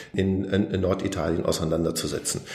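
In audible room echo, a somewhat breathy man speaks at a moderate pace. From Germany, Lower Rhine. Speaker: historian. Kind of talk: interview.

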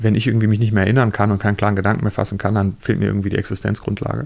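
This man's voice sits fairly low in pitch, with fairly even intonation. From Lower Saxony, Germany. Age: 30s. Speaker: journalist and author. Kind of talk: interview. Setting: hotel reading room.

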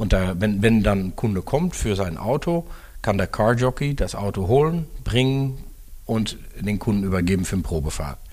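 With a Dutch accent, a man speaks at a moderate pace in a fairly low pitch, his intonation lively. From Netherlands. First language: Dutch (speaking German). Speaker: car dealership executive. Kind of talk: interview.

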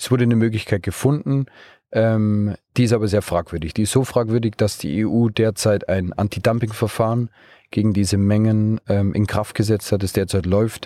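On a very clean recording with a silent background, a man's dark, mellow voice, fairly low in pitch, moves at a moderate pace with fairly even intonation, dry and close with no echo. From Bavaria, Munich region. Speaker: startup co-founder and managing director. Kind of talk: interview. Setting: mobile podcast studio in a car at a trade fair.

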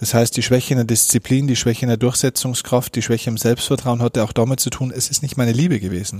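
A man's medium-pitched, somewhat breathy voice at a very fast pace, hardly any pauses, fairly even intonation, and a very clean recording over a silent background. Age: 30s. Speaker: mental coach and keynote speaker. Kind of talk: interview. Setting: in-person meeting after a workshop.

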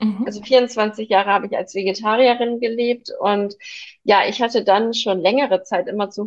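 In an unremarkable speaking voice, the speaker keeps a moderate pace and fairly even intonation. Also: woman. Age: 30s. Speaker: vegan nutrition consultant, mother. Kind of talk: casual interview chat.

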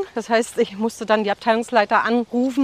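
A woman speaks at a fairly high pitch with monotone, flat intonation. The sound is dry and close, with no echo. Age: 50s. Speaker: businesswoman. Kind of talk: interview. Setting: outdoors, walking in a forest. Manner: fast.

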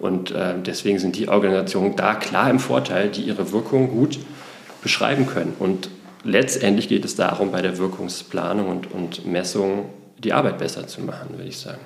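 Noticeable background noise and audible room echo surround a man speaking at a moderate pace. His fairly low voice has ordinary pitch variation and big swings in loudness. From Berlin, Germany. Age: 40s. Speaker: nonprofit managing director. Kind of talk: interview. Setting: studio, in person in Hamburg.

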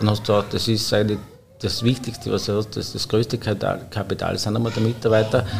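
Noticeable background noise sits behind a man talking at a fairly quick pace in a fairly low voice. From Austria, Upper Styria (Obdach). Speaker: head chef. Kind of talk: casual interview. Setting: hotel wine room.

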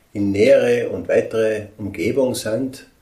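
Noticeable background noise accompanies a man talking fairly slowly. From Austria, Tyrol. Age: 60s. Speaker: sculptor and woodcarver. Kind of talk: interview. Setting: sculpture workshop.

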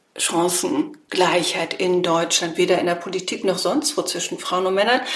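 A woman's voice swings very widely in pitch. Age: 50s. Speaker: political scientist and association founder. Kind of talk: interview.

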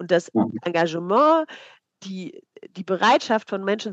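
Against a quiet background, a woman uses an ordinary speaking voice at a medium pitch and a moderate pace. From East Germany. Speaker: psychologist and volunteering trainer. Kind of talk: interview. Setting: video call.

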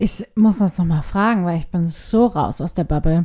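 On a very clean recording with a silent background, a woman speaks at a moderate pace in a dark, mellow tone with ordinary pitch variation. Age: 30s. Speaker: podcast co-host. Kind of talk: casual chat. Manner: animated.

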